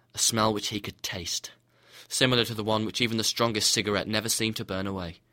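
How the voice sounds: The reading voice is natural, and its intonation is fairly level.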